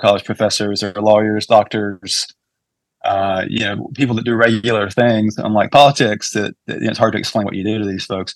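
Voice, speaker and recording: Music plays in the background as a man talks at a fairly quick pace. His medium pitch stays in fairly even intonation. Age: 40s. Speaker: political consultant. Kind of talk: casual interview.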